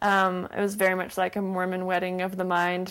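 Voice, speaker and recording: A woman with an American accent, medium pitch and a moderate pace, an ordinary speaking voice, on a very clean recording with a silent background. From Utah. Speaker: recent graduate. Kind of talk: interview.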